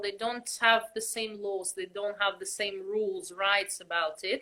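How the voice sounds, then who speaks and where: A woman's fairly high, bright, sharp voice moves at a fairly slow pace. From Russia. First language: Russian. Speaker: belly dancer, costume maker. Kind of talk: interview.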